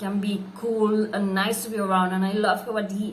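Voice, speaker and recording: Noticeable background noise and audible room echo surround a woman with a non-native accent who speaks fairly slowly in a monotone, flat intonation. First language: not English. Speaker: book reviewer. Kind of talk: book review vlog. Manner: halting, many fillers.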